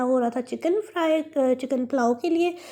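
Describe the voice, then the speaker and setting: The woman's voice has a dark, mellow tone, ordinary pitch variation and a moderate pace. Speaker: vlogger. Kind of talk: vlog voice-over. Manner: chatty, hesitant.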